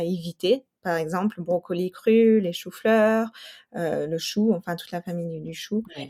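A woman speaks at a fairly slow pace with a fairly low pitch, a dark, mellow tone, ordinary pitch variation and big swings in loudness, in a very clean recording with a silent background and a dry, close sound with no echo. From New Mexico and Colorado, US. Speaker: nutrition specialist and mother. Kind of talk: interview testimony. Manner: hesitant, many fillers and repetitions.

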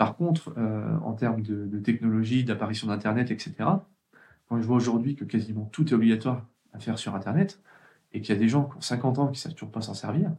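Somewhat breathy and dark, mellow in tone, a man talks at a fairly quick pace with a medium pitch and ordinary pitch variation. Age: 30s. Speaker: IT trainer and author. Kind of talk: casual interview.

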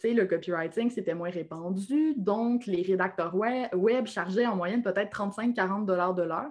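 Woman with a Quebec accent, at a fairly slow pace with hardly any pauses and ordinary pitch variation. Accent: Québécois. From Quebec, Lac-Saint-Jean (Alma). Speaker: copywriter and entrepreneur. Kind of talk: interview conversation.

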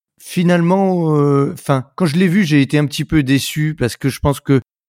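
Recorded very cleanly against a silent background, a man talks at a moderate pace with ordinary pitch variation in a dry, close sound with no echo. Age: 40s. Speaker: podcast host. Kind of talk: interview. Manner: hesitant, many fillers.

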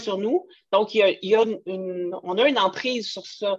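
With a Quebec accent, a woman speaks at a medium pitch and a fairly slow pace. Her intonation stays fairly even. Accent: Québécois French. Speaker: podcast host, entrepreneur. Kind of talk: casual interview chat. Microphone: poor voice recording quality.

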